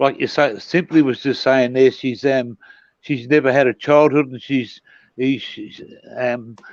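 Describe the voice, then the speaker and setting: A fairly slow man with an Australian accent, medium pitch, fairly even intonation, and big swings in loudness. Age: 60s. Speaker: caller. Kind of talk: casual chat. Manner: halting.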